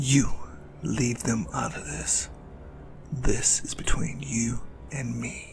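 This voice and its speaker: A put-on character voice delivers the lines at a very slow pace, with long, frequent pauses and big swings in loudness. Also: man, very deep, low pitch for a man. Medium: audio drama. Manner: earnest, protective.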